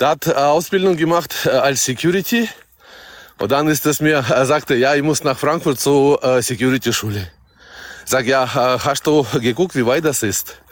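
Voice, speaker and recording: A man with a Russian accent, fairly high in pitch, with lively intonation at a moderate pace. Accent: Russian-German accent, noticeable. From Kazakhstan. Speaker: bus driver. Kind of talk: casual chat.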